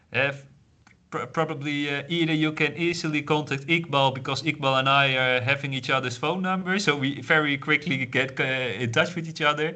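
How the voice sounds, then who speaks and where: In a room with audible echo, a man speaks at a moderate pace with a bright, sharp tone, a fairly high pitch and fairly even intonation. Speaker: university researcher. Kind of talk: online lecture Q&A. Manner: halting.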